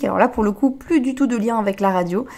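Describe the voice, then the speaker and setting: A woman's dark, mellow voice, fairly quick in pace, with ordinary pitch variation. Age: 20s. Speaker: relationship coach and podcaster. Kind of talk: podcast monologue. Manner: hesitant, many fillers.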